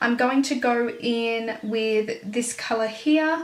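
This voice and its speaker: Very slowly, a woman speaks at a fairly high pitch, with audible room echo. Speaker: beauty vlogger. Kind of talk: makeup tutorial. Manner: casual, chatty.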